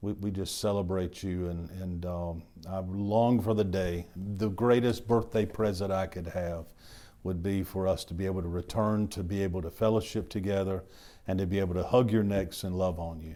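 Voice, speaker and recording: In a very deep, low, dark and mellow voice, a man talks at a moderate pace with fairly even intonation, with audible room echo around him. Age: 60s. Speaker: pastor. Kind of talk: sermon. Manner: halting.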